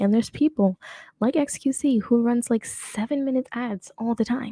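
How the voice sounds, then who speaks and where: This woman's voice is fairly high-pitched and somewhat breathy. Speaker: streamer / commentary host. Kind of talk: casual live stream commentary. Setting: live stream. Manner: fast; trips over words.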